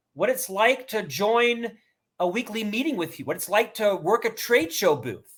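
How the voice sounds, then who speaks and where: A man speaks loudly at a moderate pace, his pitch high for a man. His intonation is lively. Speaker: author and keynote speaker. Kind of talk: interview. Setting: video call.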